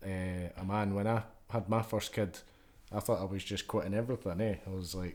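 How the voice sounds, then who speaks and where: Flat, monotone intonation runs through this fairly quick delivery in a Scottish accent. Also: man, fairly low pitch for a man. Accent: Scottish (Edinburgh area). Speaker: podcast host. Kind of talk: casual chat.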